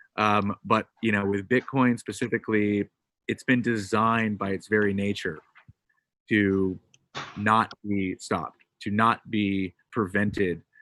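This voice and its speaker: The sound is dry and close, with no echo. A man with an American accent speaks at a fairly low pitch. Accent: sounds American. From Britain. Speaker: crypto payments entrepreneur. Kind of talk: panel discussion. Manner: animated.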